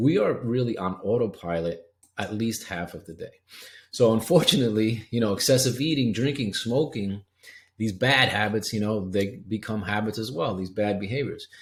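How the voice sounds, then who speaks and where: A man speaks at a fairly low pitch with ordinary variation. His voice is somewhat breathy. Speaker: health coach. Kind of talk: webinar presentation. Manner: fast.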